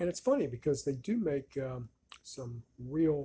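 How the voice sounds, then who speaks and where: A man talks at a very slow pace in a dark, mellow tone. His voice is somewhat breathy. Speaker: cigar reviewer. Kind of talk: casual product review. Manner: halting, slurred speech after a stroke; relaxed, slow.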